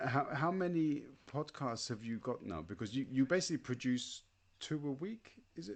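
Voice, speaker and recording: At a moderate pace, a man with a British accent speaks in a fairly high voice. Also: lively intonation. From Britain. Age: 40s. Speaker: podcast host and teacher. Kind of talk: interview. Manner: halting.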